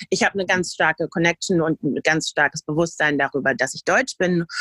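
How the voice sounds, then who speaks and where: At a moderate pace, a woman with a fairly low pitch and a bright, sharp tone speaks in a dry, close sound with no echo. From Germany. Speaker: podcast co-host. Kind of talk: casual discussion.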